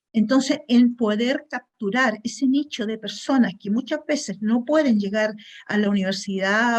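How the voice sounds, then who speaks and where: Speaking at a fairly slow pace, a woman has a somewhat breathy voice. It is pitched fairly high, with ordinary pitch variation. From Chile. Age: 60s. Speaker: webinar attendee, food industry chemist. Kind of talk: audience question.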